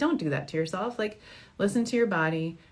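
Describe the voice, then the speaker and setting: This speaker has an American accent, sounds somewhat breathy, and moves at a fairly quick pace. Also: woman. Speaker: fertility doctor. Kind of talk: Q&A advice show. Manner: fast; animated.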